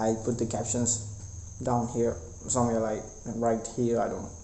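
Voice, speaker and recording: A man's medium-pitched voice in a room with audible echo. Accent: non-native. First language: not English. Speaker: vlogger. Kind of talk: casual vlog monologue. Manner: halting, many fillers and repetitions.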